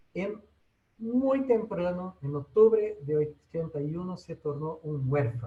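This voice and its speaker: A man speaks with a non-native accent at a fairly high pitch. His dark, mellow voice swings very widely in pitch. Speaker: technology educator. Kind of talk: webinar presentation. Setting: online webinar. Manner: halting.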